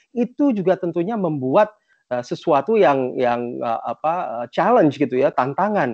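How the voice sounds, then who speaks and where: This man's voice is fairly high and swings very widely in pitch. He talks at a moderate pace. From Indonesia (Jakarta), childhood partly in Japan and US. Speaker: motivational speaker, productivity consultant. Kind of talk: talk sharing life story. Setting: virtual online event. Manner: halting, many fillers (eee).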